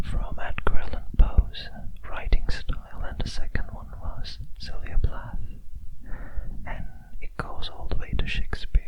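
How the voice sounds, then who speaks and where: A whisper with big swings in loudness comes through noticeable background noise. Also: man. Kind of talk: ASMR close whispers talk to camera. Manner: whispered, soft-spoken.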